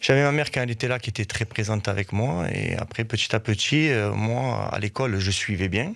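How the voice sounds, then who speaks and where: On a very clean recording with a silent background, a man with a southern French accent talks at a fairly quick pace, using a fairly low pitch and ordinary pitch variation. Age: 40s. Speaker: football coach. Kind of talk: radio interview.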